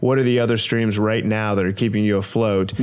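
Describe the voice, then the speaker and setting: A fairly quick put-on character voice from a man with fairly low pitch. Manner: smirking.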